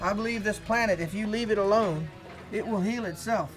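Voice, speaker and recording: With an American accent, a man talks at a moderate pace in a fairly even tone while music plays clearly behind him. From Virginia, Chesapeake Bay. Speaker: waterman. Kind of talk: interview answer. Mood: calm, reflective. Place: boat. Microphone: lapel.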